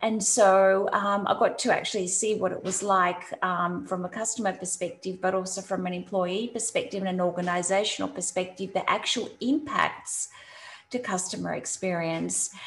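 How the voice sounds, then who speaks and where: A woman with an Australian accent talks at a moderate pace with fairly even intonation. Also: medium pitch for a woman. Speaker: CX consultant. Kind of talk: interview. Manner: halting, many fillers.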